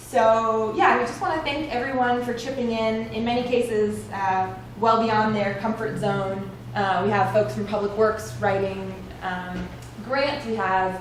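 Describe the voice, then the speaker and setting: A woman's fairly high pitch amid noticeable background noise and audible room echo. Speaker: nonprofit program staff presenting to village board. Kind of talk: presentation to a public meeting. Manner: loud.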